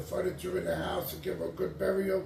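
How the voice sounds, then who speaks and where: With an American accent, a man speaks at a moderate pace amid noticeable background noise and audible room echo. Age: 60s. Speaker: homeless man. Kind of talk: interview.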